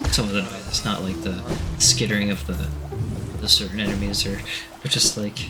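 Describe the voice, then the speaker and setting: Over music in the background, a soft-spoken voice talks at a moderate pace with ordinary pitch variation. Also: man. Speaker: let's play gamer. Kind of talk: soft-spoken gameplay commentary. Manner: soft-spoken, quiet.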